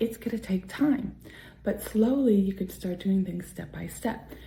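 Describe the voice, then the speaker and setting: Noticeable background noise accompanies a woman talking at a moderate pace, her medium pitch carried by fairly even intonation. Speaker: indie author and vlogger. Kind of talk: motivational vlog talk to camera. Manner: soft-spoken, projecting louder than usual.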